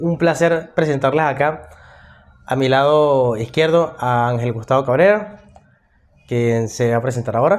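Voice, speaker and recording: Speaking in a Venezuelan accent, a man keeps a medium pitch with ordinary pitch variation. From Venezuela, Maracay. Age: 20s. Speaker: podcast host, political science student. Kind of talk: casual discussion podcast.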